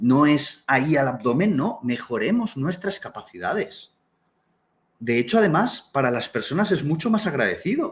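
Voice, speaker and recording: Pitch swings very widely in this voice. It is somewhat breathy and keeps a moderate pace. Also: man, fairly high pitch for a man. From Canary Islands, Tenerife. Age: 30s. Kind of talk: live online talk. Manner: animated.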